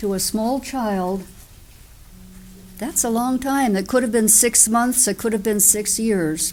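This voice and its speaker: Music plays in the background as a speaker with an American accent talks with ordinary pitch variation. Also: woman. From US Northeast (New Jersey). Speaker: Quaker sharing life story. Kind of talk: testimony.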